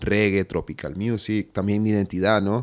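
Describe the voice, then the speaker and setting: On a very clean recording with a silent background, a man with a Honduran accent speaks at a fairly low pitch and a moderate pace. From Honduras, inland. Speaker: musician and filmmaker. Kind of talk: interview.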